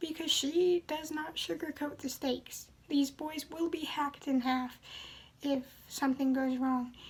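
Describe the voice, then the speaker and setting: A soft-spoken woman with a calm tone and high pitch, fairly even intonation and a moderate pace. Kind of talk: book review talk to camera. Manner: calm, soft-spoken.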